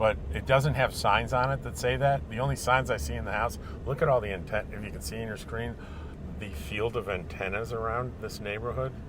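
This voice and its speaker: A man's fairly low voice at a moderate pace, with very wide pitch swings and audible room echo. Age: 60s. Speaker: travel vlogger. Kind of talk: casual vlog narration. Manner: halting, many fillers.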